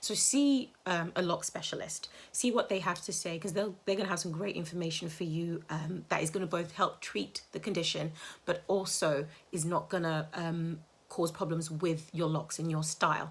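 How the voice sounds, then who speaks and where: A woman speaks with a fairly low pitch and ordinary pitch variation, somewhat breathy. The recording is very clean, with a silent background. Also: moderate pace. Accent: British. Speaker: healthy hair advocate and author. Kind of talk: live social media Q&A talk. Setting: live Instagram stream.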